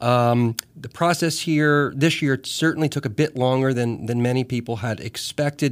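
A man with an American accent uses a plain, everyday voice at a medium pitch and moderate pace, with fairly even intonation and hardly any pauses, on a very clean recording with a silent background. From US Northeast. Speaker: radio host. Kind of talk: radio interview. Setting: radio studio.

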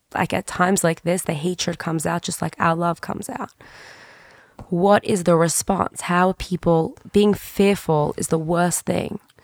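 Someone with an Australian accent speaks at a fairly slow pace with fairly even intonation. The sound is dry and close with no echo. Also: woman, fairly low pitch for a woman. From Sydney, Australia. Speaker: podcast host and history teacher. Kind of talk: interview questions, emotional conversation. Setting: in person, sitting across from the guest.

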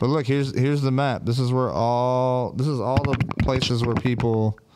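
Here is a man with an American accent. He speaks at a medium pitch. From US. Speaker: livestream host. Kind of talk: casual chat. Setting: studio. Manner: animated.

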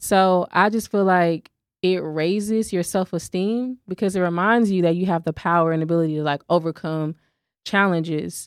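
In a very clean recording with a silent background, a woman talks at a moderate pace in an unremarkable speaking voice, fairly low in pitch, with fairly even intonation. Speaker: podcast co-host and small business owner. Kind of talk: casual chat.

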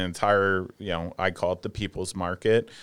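This man has an unremarkable speaking voice, fairly low in pitch, with an American accent and a moderate pace. The recording is very clean, with a silent background. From New Jersey. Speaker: cannabis cultivator and comedian. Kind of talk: casual chat. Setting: studio.

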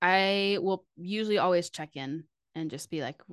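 In a plain, everyday voice, a woman speaks at a fairly low pitch with ordinary pitch variation, the sound dry and close with no echo against a quiet background. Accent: American. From Texas, Fort Worth. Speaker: physical therapist. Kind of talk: casual chat.

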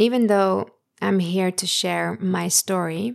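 A woman speaks in a calm tone, the sound dry and close with no echo. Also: very clean recording, silent background. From Netherlands. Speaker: podcast host. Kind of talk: personal monologue.

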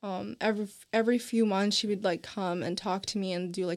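On a very clean recording with a silent background, a woman with an American accent uses a normal speaking voice, moving at a fairly quick pace with fairly even intonation. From US South, Nashville, Tennessee. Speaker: college student, podcast co-host. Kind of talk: casual chat.

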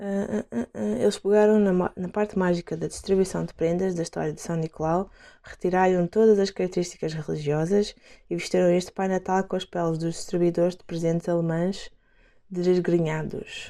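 A woman with a European Portuguese accent, fairly low in pitch and dark and mellow in tone, at a moderate pace with ordinary pitch variation and big swings in loudness, on a very clean recording with a silent background. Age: 20s. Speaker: podcast host, dancer. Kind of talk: reading aloud; casual chat. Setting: at home.

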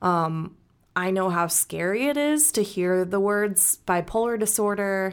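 A woman's unremarkable speaking voice with an American accent, medium-pitched with ordinary variation, very even in loudness and fairly slow, on a very clean recording with a silent background. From US Midwest, St. Louis, Missouri. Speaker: patient sharing mental health story. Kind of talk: personal testimony interview.

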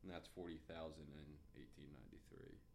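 A man's voice carries audible room echo. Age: 20s. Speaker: podcast co-host. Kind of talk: casual chat; storytelling.

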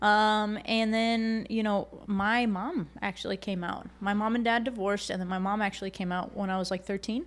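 A woman with an American accent speaks at medium pitch and a moderate pace with hardly any pauses, in a very clean recording with a silent background. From Connecticut, US Northeast. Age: 30s. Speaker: activist. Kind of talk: casual chat. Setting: studio. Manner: animated.

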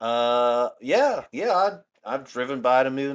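A man with a Southern US accent, medium pitch and ordinary pitch variation, on a very clean recording with a silent background. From US South, northeast Alabama. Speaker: podcast co-host. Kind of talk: casual chat.

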